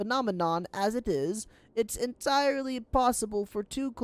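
Someone reads aloud in a natural voice.

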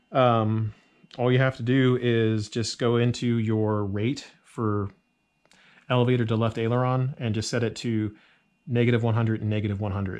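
A man's monotone, flat delivery at a moderate pace. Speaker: RC model aircraft YouTuber. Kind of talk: tutorial. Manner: unscripted, casual with fillers. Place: home room. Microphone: phone near.

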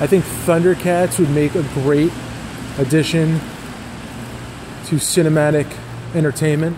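A man's monotone, flat delivery amid noticeable background noise. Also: moderate pace. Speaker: vlogger. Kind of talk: casual vlog chat. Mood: amused, joking. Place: garage. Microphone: phone near.

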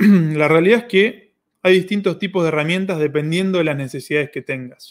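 Speaking fairly quickly with a Rioplatense accent, a man uses a high-pitched voice. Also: ordinary pitch variation. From Argentina. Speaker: online course platform host. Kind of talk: live Q&A stream. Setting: livestream. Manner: animated. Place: home room. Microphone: webcam.

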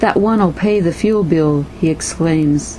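Fairly slow speech from a woman, noticeable noise in the background. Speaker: poet. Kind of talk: poetry reading.

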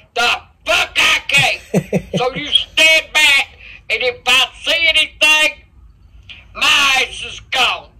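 Very slow speech against a quiet background. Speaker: stream co-host. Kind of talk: casual banter on a live stream. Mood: annoyed, profane, mock-defiant. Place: home room. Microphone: lapel.

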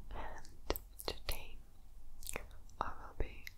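A woman speaks at a very slow pace. Loud background noise fills the recording. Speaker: ASMR creator. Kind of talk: ASMR counting to help sleep. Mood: calm, soothing. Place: home room. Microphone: studio mic.

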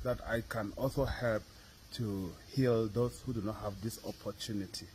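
A man's somewhat breathy voice over light background noise. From Cameroon. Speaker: religious brother, student. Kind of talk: testimony. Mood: grateful, calm. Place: street. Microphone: phone near.

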